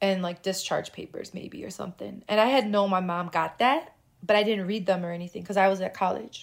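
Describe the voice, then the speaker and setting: A woman with an American accent speaks in a normal speaking voice at a medium pitch, with ordinary pitch variation and a fairly quick pace. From Chicago. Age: 30s. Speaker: intersex activist and filmmaker. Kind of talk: casual interview.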